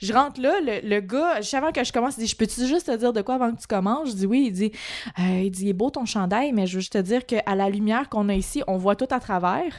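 Very fast, a woman speaks in a fairly high pitch with lively intonation. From Quebec, Montreal. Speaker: podcast co-host, actress. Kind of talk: casual chat.

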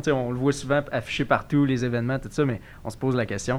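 A man talks at a very fast pace. His pitch sits in the middle range. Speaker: podcast host. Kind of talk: casual chat.

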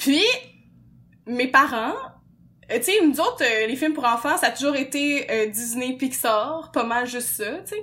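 Speaking with a Quebec accent, a woman uses lively intonation and a bright, sharp tone at a fairly slow pace. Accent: Québécois French. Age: 20s. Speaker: podcast host. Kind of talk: casual chat.

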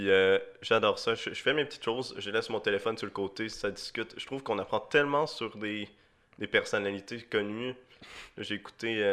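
Against a quiet background, a man talks at a fairly quick pace with a slight Swiss French accent. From Switzerland. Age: young. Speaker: podcast co-host for the episode. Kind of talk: casual chat. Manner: animated.

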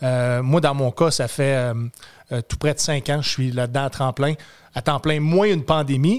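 This man speaks with a Quebec accent at a fairly slow pace. His voice sits fairly high, with ordinary pitch variation. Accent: Québécois French. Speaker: comedian and military veteran. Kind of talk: casual chat.

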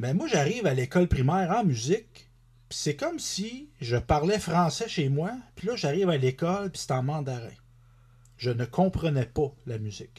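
Over a quiet background, a man with a Quebec accent speaks at a moderate pace in a fairly high pitch, his voice making very wide pitch swings. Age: 40s. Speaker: country singer and author. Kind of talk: casual interview chat.

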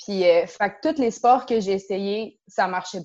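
A woman uses a normal speaking voice at a fairly high pitch with fairly even intonation. The background is quiet. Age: 20s. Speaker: karate instructor and dojo co-owner. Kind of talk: interview.

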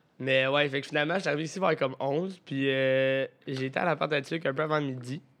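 A man speaks at a fairly quick pace and fairly high pitch. Noticeable background noise is present. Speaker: podcast co-host. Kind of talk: casual chat. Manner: animated.

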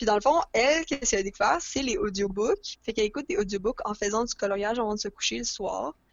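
Talking at a very fast pace with hardly any pauses, a woman with a fairly high pitch uses lively intonation. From Montreal, Quebec. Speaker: podcast guest, book lover. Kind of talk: casual chat.

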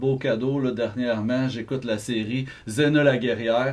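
A man with a medium pitch, fairly even intonation and a very slow pace. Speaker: podcast co-host. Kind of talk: casual chat.

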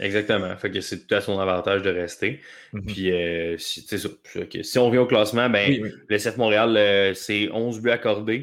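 With a Quebec accent, a man speaks in a fairly low pitch and fairly even intonation. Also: fairly slow pace. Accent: Québécois French. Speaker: soccer columnist. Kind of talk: casual chat.

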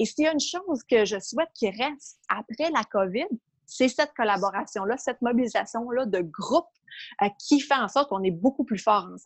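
A woman speaks at a fairly quick pace in a high pitch with lively intonation. The sound is dry and close with no echo, over a quiet background. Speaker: sports administrator. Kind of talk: casual interview.

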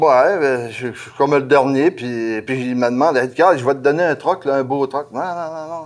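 A man with a Saguenay–Lac-Saint-Jean accent talks at a fairly slow pace, his fairly high pitch moving with ordinary variation. He hardly pauses, and the recording is very clean with a silent background. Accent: Saguenay–Lac-Saint-Jean Quebec French. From Quebec, Lac-Saint-Jean. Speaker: truck driver. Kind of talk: casual interview.

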